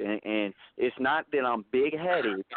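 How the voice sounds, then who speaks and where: A man speaks at a fairly slow pace in an ordinary speaking voice, his pitch medium. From US Midwest, Kansas. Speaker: rapper. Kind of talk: interview.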